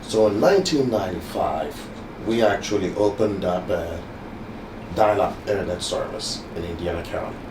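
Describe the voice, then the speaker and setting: A man with a fairly low pitch speaks at a moderate pace and with fairly even intonation, with audible room echo and noticeable background noise. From Ghana, West Africa. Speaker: university alumnus. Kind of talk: oral history interview. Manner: halting, with many fillers.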